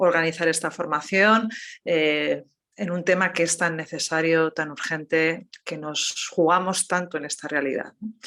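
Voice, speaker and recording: A woman's fairly low voice at a moderate pace with ordinary pitch variation, in a very clean recording with a silent background. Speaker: theology professor. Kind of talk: lecture. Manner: measured pace.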